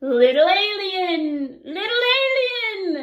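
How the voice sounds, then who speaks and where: Doing a put-on character voice, a woman squeaks at an extremely high pitch and a very slow pace, with audible echo. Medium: read story. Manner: booming threats, bleeping.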